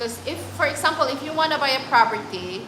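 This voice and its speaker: A woman with lively intonation, audible room echo and noticeable background noise. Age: 30s. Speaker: travel vlogger. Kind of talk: live stream chat. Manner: halting.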